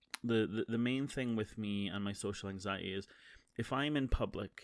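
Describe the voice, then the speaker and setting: In a Scottish accent, a man with a fairly low voice speaks at a moderate pace and with fairly even intonation on a very clean recording with a silent background. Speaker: streamer and podcaster. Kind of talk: casual monologue. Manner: halting.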